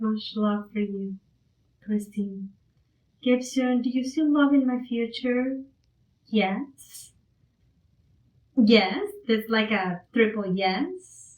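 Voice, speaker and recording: With a non-native accent, a woman at a fairly high pitch speaks somewhat breathily at a very slow pace, with long, frequent pauses. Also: ordinary pitch variation. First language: not English. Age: 50s. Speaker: spiritual channeler. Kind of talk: livestream psychic reading. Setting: live stream.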